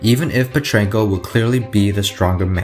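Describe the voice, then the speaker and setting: Fairly low-pitched male voice over music in the background. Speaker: arm wrestling analyst. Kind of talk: sports analysis narration.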